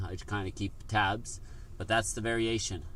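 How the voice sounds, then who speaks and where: A fairly slow pace with ordinary pitch variation and audible room echo. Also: man. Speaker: sports card group break host. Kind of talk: live card break stream. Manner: casual, conversational.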